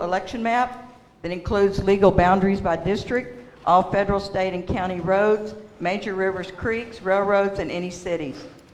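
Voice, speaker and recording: Noticeable background noise sits behind a woman speaking at a fairly quick pace in a medium pitch with fairly even intonation. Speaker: public commenter at a water district meeting. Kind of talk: public comment speech. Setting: public meeting.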